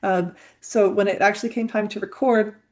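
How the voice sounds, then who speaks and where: Against a quiet background, a woman speaks at medium pitch and a moderate pace. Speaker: podcast host. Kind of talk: casual monologue. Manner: halting, many fillers.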